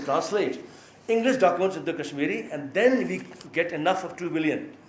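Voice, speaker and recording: Speaking in an Indian accent, a man talks at a fairly quick pace with high pitch and lively intonation. The recording has audible room echo and noticeable background noise. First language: Maithili. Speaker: professor. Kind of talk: lecture. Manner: halting.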